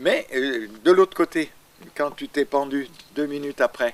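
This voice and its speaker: This man's voice moves through very wide pitch swings. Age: 80s+. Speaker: astrologer. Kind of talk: interview answer.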